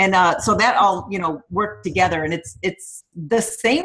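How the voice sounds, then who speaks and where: A fairly slow, somewhat breathy woman with a medium pitch and an American accent. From upstate New York, US. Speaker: fitness coach. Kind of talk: guest talk on a team call. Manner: trying to speak slower.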